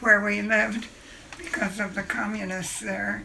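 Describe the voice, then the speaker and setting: A woman speaks at a fairly slow pace. Noticeable background noise and audible room echo fill the recording. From China, missionary family. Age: 80s+. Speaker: great-grandmother interviewed. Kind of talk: family interview, storytelling. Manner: halting, with false starts.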